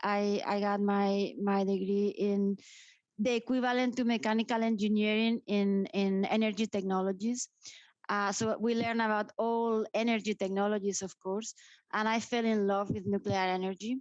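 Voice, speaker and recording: A woman with a Spanish accent speaks at a medium pitch and a moderate pace, her intonation flat and monotone. The sound is dry and close with no echo, and the loudness stays very even. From Spain (grew up in Madrid). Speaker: nuclear industry association director. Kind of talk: interview.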